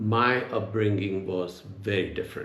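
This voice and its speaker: A man's fairly low, monotone voice with flat intonation at a fairly slow pace, amid audible room echo. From India, Gujarat. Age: 70s. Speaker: retired executive, leadership advisor. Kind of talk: oral history interview.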